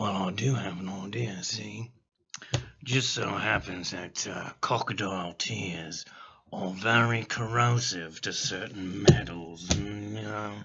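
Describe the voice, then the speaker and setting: A raspy, put-on character voice from a man, fairly low in pitch and at a fairly slow pace. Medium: actual play. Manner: folksy, drawling.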